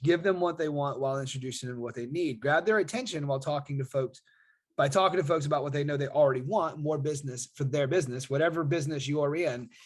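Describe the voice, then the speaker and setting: A somewhat breathy man with a fairly high pitch. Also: quiet background. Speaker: online marketer and affiliate. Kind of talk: casual video monologue. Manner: fast; animated.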